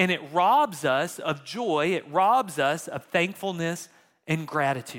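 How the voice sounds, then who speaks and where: Lively intonation at a very slow pace, on a very clean recording with a silent background. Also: man, high pitch for a man. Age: 30s. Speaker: pastor. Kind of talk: sermon.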